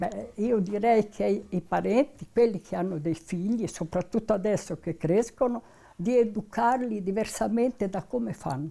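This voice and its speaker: Her medium-pitched voice has a dark, mellow tone and vocal fry, moving at a moderate pace on a very clean recording with a silent background. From northern Italy, Modena province (Emilian Apennines). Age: 90s. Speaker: elderly interviewee. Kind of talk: oral history interview.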